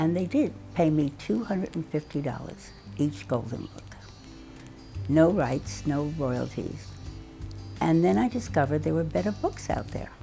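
Against faint music in the background, a woman with a very deep, low pitch and very wide pitch swings speaks at a moderate pace with long, frequent pauses. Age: 80s+. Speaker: children's book author. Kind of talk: interview storytelling. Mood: reflective, lively recollection. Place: home room.

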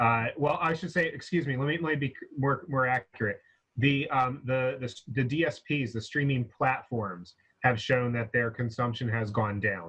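Against a quiet background, a man in an American accent uses a normal speaking voice at medium pitch, with ordinary pitch variation and a moderate pace. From USA. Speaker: live music industry professional; guest. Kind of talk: online panel discussion. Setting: video call. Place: home room. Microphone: video call.

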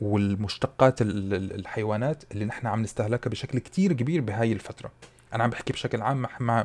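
Medium in pitch with ordinary variation, a man speaks at a moderate pace in a dark, mellow tone. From UAE, Syrian family. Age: 30s. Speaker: food content creator. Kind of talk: casual Q&A vlog.

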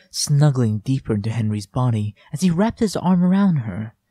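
Reading aloud in a natural voice, the speaker's intonation moves with liveliness.

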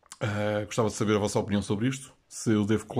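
In a European Portuguese accent, a man speaks at a moderate pace. His pitch is fairly low, and the background is quiet. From Portugal. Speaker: YouTube collector channel host. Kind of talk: comedic vlog monologue. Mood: playful, mock-serious. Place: home room. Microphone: phone near.

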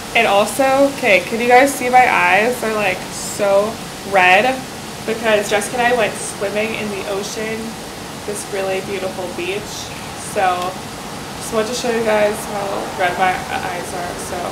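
Long, frequent pauses break up a woman's moderate pace. Loud background noise runs behind her. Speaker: vlogger on vacation. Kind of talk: casual vlog chat. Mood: cheerful, relaxed. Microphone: webcam.

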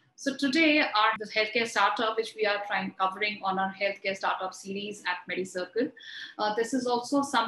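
Audible room echo surrounds a woman's bright, sharp tone. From India. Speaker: health channel host; interview host. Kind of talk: scripted introduction; interview. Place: office.

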